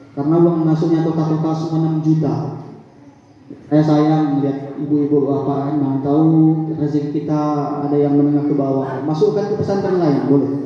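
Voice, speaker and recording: A man with a fairly high voice at a fairly quick pace, amid noticeable background noise and audible room echo. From Aceh Tamiang, Indonesia. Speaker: preacher. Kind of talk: religious lecture to village audience. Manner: animated.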